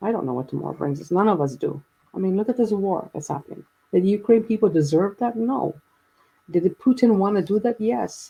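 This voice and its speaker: Speaking at a fairly quick pace, a woman has a dark, mellow tone, medium pitch, lively intonation and a somewhat breathy quality. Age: 60s. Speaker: guest sharing personal story of grief and faith. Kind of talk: casual chat.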